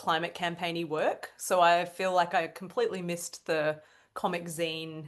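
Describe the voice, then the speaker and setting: A woman speaks at a moderate pace in an Australian accent, her pitch fairly low. Her intonation is monotone and flat against a quiet background. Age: 30s. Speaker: cartoonist. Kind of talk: casual chat.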